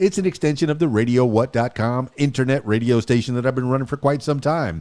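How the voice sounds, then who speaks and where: A man speaks at medium pitch in a plain, everyday voice. The recording is very clean with a silent background. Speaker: podcast host and DJ. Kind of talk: radio show intro. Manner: upbeat.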